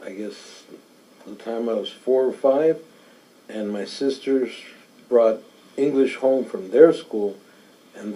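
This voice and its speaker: A man talks at a fairly slow pace with medium pitch and ordinary pitch variation. His delivery has long, frequent pauses and big swings in loudness. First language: Spanish. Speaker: interviewee. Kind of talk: interview answers. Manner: hesitant, many fillers.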